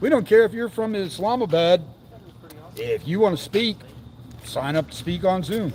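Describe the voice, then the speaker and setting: A man talks loudly at a moderate pace, his high pitch varying in an ordinary way. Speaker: citizen activist speaker. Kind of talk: casual livestream commentary. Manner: animated.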